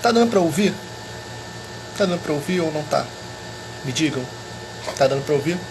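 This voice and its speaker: A soft-spoken man with a high pitch and ordinary pitch variation is heard with audible room echo and noticeable background noise. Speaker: history teacher. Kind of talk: live stream chat.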